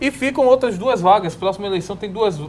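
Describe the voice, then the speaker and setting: The pitch varies in an ordinary way. Noticeable noise sits in the background. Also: man. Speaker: political commentator. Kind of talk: panel debate. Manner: fast.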